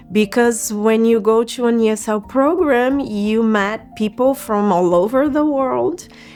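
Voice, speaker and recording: A woman with a Brazilian accent speaks at a fairly slow pace with hardly any pauses and very even loudness. Her pitch is fairly high with ordinary variation, and music plays in the background. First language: Portuguese. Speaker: immigrant sharing personal story, psychologist. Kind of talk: personal testimony. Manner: halting, self-correcting.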